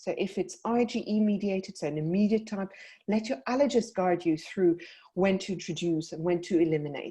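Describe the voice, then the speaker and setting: Somewhat breathy, with a dark, mellow tone, a woman speaks in a South African accent against a quiet background. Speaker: paediatric dietitian. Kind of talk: webinar presentation. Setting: online webinar.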